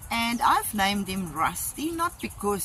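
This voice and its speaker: A speaker with a South African accent talks at a fairly slow pace over music in the background. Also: woman. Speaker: vlogger. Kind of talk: video tour. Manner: casual with fillers.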